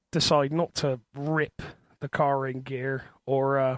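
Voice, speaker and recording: With a strong Bristol accent, a man speaks at a fairly high pitch in a monotone, flat intonation, the sound dry and close with no echo. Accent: thick Bristol. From Bristol, Southwest England. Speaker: podcast co-host. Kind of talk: casual chat.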